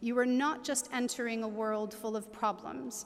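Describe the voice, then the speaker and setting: A woman with a normal speaking voice speaks in a fairly high pitch with an American accent. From United States. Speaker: graduation ceremony speaker. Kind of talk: commencement speech. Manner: formal.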